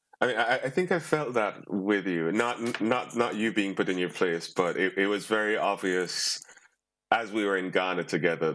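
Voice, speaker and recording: A man's voice with ordinary pitch variation. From Jamaica. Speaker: poet. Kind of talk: panel discussion.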